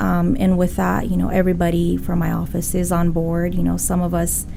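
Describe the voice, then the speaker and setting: A woman with a Spanish accent at a moderate pace, with noticeable background noise and audible room echo. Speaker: real estate broker. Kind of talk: interview.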